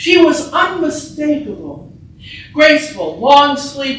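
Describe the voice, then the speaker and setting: A woman speaking at a very slow pace amid noticeable background noise. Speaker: writer. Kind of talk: reading aloud. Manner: projected, stage-trained.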